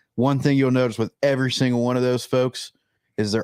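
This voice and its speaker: In an ordinary speaking voice, a man talks at a fairly quick pace and medium pitch, captured dry and close with no echo on a very clean recording with a silent background. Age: 30s. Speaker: fishing show host. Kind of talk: casual chat. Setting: live stream.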